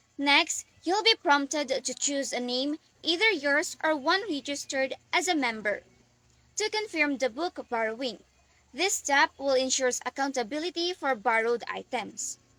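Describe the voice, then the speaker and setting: A raised, projected voice with a bright, sharp tone and lively intonation, at a moderate pace, in a dry, close sound with no echo. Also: woman. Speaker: student. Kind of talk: scripted class presentation.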